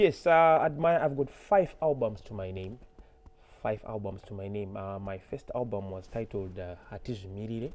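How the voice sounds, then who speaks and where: A fairly low-pitched man with a Zimbabwean accent, lively intonation, big swings in loudness, and a moderate pace. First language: Shona. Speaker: musician. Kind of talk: interview. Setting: studio.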